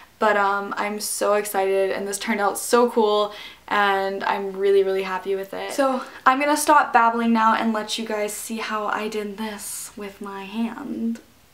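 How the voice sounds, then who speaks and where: The loudness swings widely. Room echo is audible. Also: woman, medium pitch for a woman, moderate pace. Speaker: beauty YouTuber. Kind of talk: makeup tutorial. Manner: animated.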